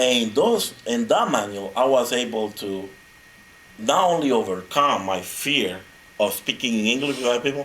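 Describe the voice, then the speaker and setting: This man has a Spanish accent and a medium pitch with ordinary pitch variation. He keeps a moderate pace against noticeable background noise. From Honduras. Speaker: motivational speaker. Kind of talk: speech. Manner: animated.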